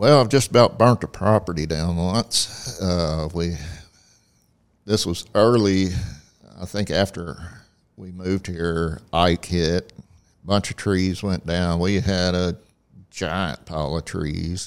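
A man speaks at a very slow pace with a very deep, low pitch and ordinary pitch variation. His pauses are long and frequent. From Southeast Texas, Port Acres near Port Arthur. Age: 60s. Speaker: church facilities manager. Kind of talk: casual interview. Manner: halting, with many fillers.

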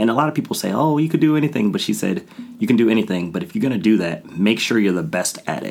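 Very wide pitch swings at a very fast pace amid noticeable background noise. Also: man, medium pitch for a man. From Ohio, US. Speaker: amateur race car driver. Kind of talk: casual interview. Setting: studio. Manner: animated.

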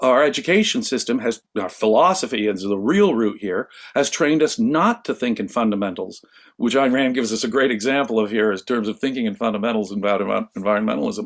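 A man in a plain, everyday voice at medium pitch, fairly quick pace and lively intonation, on a very clean recording with a silent background. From US West Coast, Los Angeles. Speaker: philosophy scholar. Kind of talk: interview discussion.

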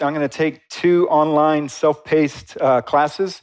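A very clean recording of a man, the background silent. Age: 40s. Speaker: pastor. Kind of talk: sermon. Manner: halting.

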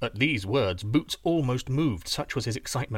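A natural voice reads the passage aloud. Its intonation stays lively.

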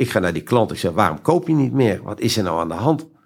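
Vocal fry runs through a man's voice as his pitch swings very widely. He talks at a fairly quick pace in a very clean recording with a silent background. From Friesland, Netherlands. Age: 50s. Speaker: entrepreneur. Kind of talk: interview. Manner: halting.

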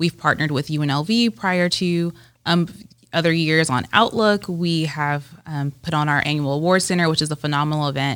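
This woman's voice sits very deep and low, with ordinary pitch variation. The recording is very clean, with a silent background. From Southern California, Rancho Cucamonga. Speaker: economic development executive. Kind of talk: interview.

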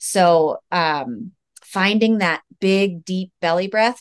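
A woman speaks with an American accent at a fairly low pitch, in a normal speaking voice. Her pitch varies in an ordinary way, and the background is quiet. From United States. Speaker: speech-language pathologist. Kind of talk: interview.

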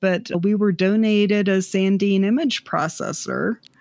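A woman speaks in an ordinary speaking voice at medium pitch and a fairly slow pace. The sound is dry and close, with no echo. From US South, South Georgia. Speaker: artist and arts organization director. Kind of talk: interview conversation.

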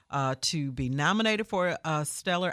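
A woman at a moderate pace, dry and close with no echo, over a quiet background. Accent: Memphis. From Memphis, Tennessee, US South. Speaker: gospel radio host. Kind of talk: casual interview.

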